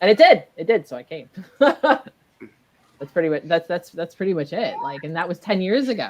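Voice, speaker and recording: A woman with a fairly low voice speaks at a moderate pace, her pitch swinging very widely and her loudness swinging a lot. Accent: strong Midwestern US. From US Midwest, Michigan. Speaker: maker and multimedia creator. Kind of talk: casual chat.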